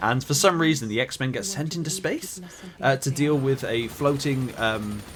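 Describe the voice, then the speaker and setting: A man with a West Country accent and a fairly high pitch, at a moderate pace with ordinary pitch variation, over noticeable background noise. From West Country, England. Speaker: film reviewer. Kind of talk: casual film review monologue. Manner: halting, many fillers.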